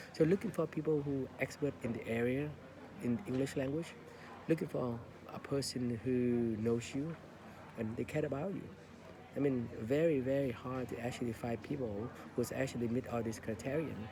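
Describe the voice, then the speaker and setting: A man with a Vietnamese accent speaks at a medium pitch and a moderate pace. He leaves long, frequent pauses. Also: ordinary pitch variation. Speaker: English learning podcaster. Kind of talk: casual monologue. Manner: halting, many fillers.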